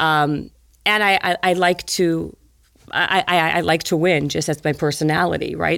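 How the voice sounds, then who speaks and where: On a very clean recording with a silent background, a woman speaks in a very deep, low register with vocal fry. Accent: Canadian. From Canada, Winnipeg, Manitoba. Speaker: fitness author and trainer. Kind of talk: casual interview storytelling. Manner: very fast talker; energetic.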